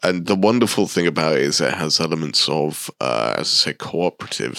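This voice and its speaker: In a British accent, a man with a very deep, low pitch, vocal fry and a bright, sharp tone speaks at a moderate pace, recorded very cleanly over a silent background. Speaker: podcast co-host. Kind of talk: casual chat. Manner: playful.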